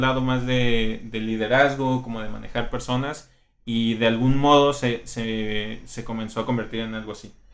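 The man's pitch sits at a medium level. His intonation is monotone and flat. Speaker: UX designer. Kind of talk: casual interview. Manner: loud.

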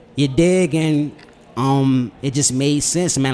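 A man speaks in a plain, everyday voice with an American accent. His pitch is medium with ordinary pitch variation. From Washington DC, south side. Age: 20s. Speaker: musician. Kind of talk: casual chat.

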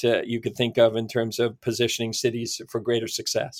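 A man with a Canadian accent speaks in a normal speaking voice at a medium pitch and a fairly quick pace. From Ontario, Canada. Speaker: city planner. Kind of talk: interview.

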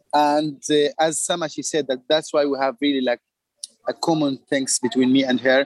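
Recorded dry and close with no echo, a man speaks at a fairly high pitch and moderate pace, his loudness very even and his intonation flat and monotone. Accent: Arabic. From Palestine. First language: Arabic. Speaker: artist. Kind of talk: casual chat. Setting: video call. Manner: halting.

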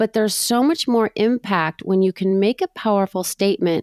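A woman with an ordinary speaking voice, medium in pitch, at a moderate pace. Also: very clean recording, silent background. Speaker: realtor and co-host. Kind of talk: interview.

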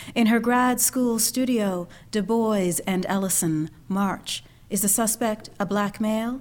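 A woman with a Canadian accent speaks at a fairly slow pace in a medium pitch with ordinary pitch variation, a plain, everyday voice. The recording is very clean, with a silent background. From Canada, Ontario. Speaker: poet and actress. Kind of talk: poetry reading.

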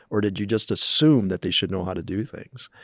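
Recorded very cleanly against a silent background, a man with an American accent talks at a fairly quick pace and fairly low pitch, the sound dry and close with no echo. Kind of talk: interview.

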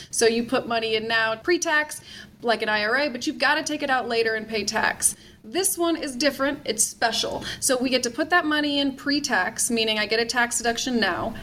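A woman's high-pitched voice at a fairly quick pace with ordinary pitch variation, against noticeable background noise. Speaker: tax expert. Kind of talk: interview.

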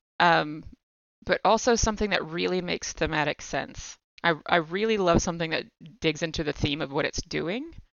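A woman speaks with an American accent and vocal fry. Her pitch is fairly low. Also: ordinary pitch variation, moderate pace. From United States. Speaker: podcaster and game designer. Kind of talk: casual chat.

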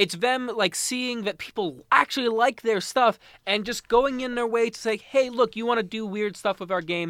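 With a Canadian accent, a man speaks at a moderate pace with hardly any pauses, using a high pitch and ordinary pitch variation, in a very clean recording with a silent background. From Mississauga, Ontario, Canada. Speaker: podcast host. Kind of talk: casual chat, video game talk.

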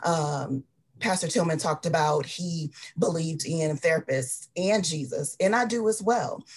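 The speaker talks at a moderate pace with an American accent. The voice is somewhat breathy. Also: woman, fairly low pitch for a woman. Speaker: mental health advocate. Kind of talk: community panel discussion.

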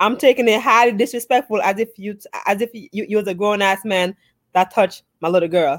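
A woman with an American accent, medium pitch and ordinary pitch variation at a fairly quick pace, in a dry, close sound with no echo and a very clean recording with a silent background. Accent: Jamaican-New York. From Jamaica, later the Bronx. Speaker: podcast co-host. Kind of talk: casual chat.

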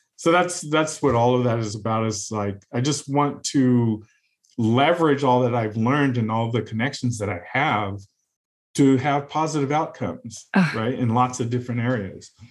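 In an unremarkable speaking voice, a man with a General American accent and a medium pitch talks at a moderate pace with ordinary pitch variation. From California, US. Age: 50s. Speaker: software engineer and tech executive. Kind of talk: interview conversation.

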